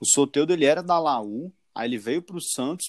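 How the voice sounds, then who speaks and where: A man's normal speaking voice, fairly high and with lively intonation, in a dry, close recording with no echo, very clean against a silent background. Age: 20s. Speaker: football podcast host. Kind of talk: casual chat.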